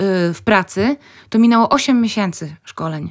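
A woman with a normal speaking voice talks fairly slowly with lively intonation. The recording is very clean, with a silent background. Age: 30s. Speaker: medical clown. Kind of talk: radio interview. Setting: radio studio.

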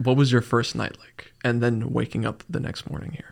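His medium-pitched voice carries vocal fry as this man speaks. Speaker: podcast host. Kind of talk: casual interview chat. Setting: studio, sitting across a table. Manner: energetic, upbeat.

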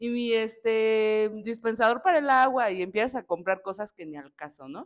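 With a fairly high pitch, a woman speaks at a moderate pace. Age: 30s. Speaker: preschool teacher. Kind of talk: casual chat.

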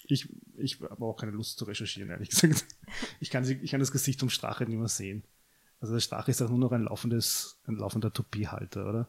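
A man speaks at a very fast pace. His medium-pitched voice is somewhat breathy. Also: ordinary pitch variation. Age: 20s. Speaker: podcast co-host. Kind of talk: casual chat.

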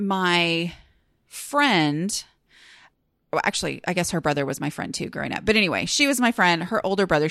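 With a normal speaking voice, a woman speaks fairly low in pitch at a fairly quick pace, recorded in a dry, close sound with no echo. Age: 40s. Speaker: podcast host and blogger. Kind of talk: casual solo podcast monologue. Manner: chatty, many fillers.

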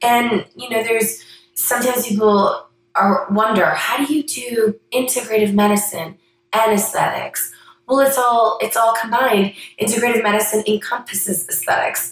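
At a moderate pace, a woman with a plain, everyday voice speaks at a fairly high pitch with fairly even intonation. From Canada. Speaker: physician and podcast host. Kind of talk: monologue introduction.

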